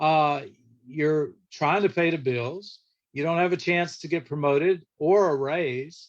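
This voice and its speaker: Over a quiet background, a man with a plain, everyday voice and a fairly high pitch speaks at a fairly slow pace with fairly even intonation. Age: 60s. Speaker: church guest speaker and lawyer. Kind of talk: church class talk. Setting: livestreamed virtual church class. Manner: conversational.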